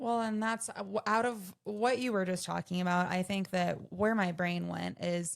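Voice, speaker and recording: A woman with an unremarkable speaking voice talks at a medium pitch and moderate pace, with fairly even intonation and hardly any pauses. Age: 30s. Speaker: podcast co-host. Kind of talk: casual panel discussion.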